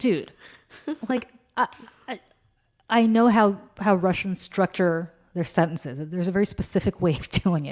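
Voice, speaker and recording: A woman with an animated tone speaks at a moderate pace in a medium pitch, with ordinary pitch variation and long, frequent pauses. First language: Russian. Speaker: political commentator, podcast co-host. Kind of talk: casual chat.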